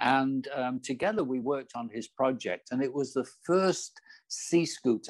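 A man with a Manchester accent, medium in pitch, with lively intonation. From northern England, Manchester. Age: 70s. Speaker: business coach and entrepreneur. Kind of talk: interview. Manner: halting, frequent repetitions.

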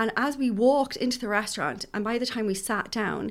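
A woman speaks in an Irish accent with ordinary pitch variation. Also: very clean recording, silent background. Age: 40s. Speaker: addiction professional. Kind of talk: casual chat.

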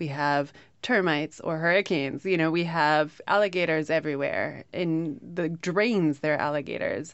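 In an American accent, a woman speaks at a moderate pace with a fairly low pitch, ordinary pitch variation and hardly any pauses, in a plain, everyday voice. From upstate New York. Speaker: author. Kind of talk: interview.

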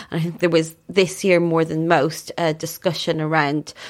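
A woman's fairly low, monotone, flat delivery in an Irish accent at a fairly slow pace. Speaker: writer and journalist. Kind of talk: interview.

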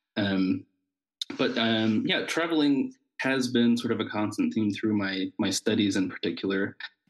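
A man with an American accent speaks at a fairly slow pace and medium pitch, with ordinary pitch variation, very even loudness and hardly any pauses. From Southern Ohio (Appalachian region). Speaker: church musician and theology student. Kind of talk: casual interview conversation. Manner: hesitant, many fillers.

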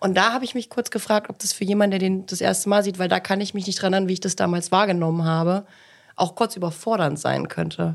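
Talking at a very fast pace, a woman keeps her medium-pitched voice in fairly even intonation. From Thuringia, Germany (Ilmenau). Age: 30s. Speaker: film production set manager. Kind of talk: casual chat.

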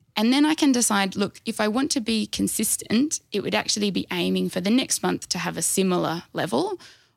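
A woman with an Australian accent talks at a fairly quick pace with hardly any pauses, on a very clean recording with a silent background. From Australia, Canberra. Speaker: dietitian. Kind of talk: casual interview chat.

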